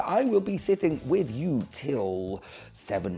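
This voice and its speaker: The pitch swings very widely at a very slow pace. Music plays in the background. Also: man. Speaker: radio show host. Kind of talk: podcast interview. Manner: casual, conversational.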